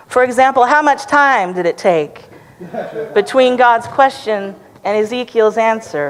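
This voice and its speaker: With lively intonation and a fairly high pitch, a woman speaks at a fairly slow pace over noticeable background noise. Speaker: preacher, church sermon speaker. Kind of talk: sermon delivered to a congregation.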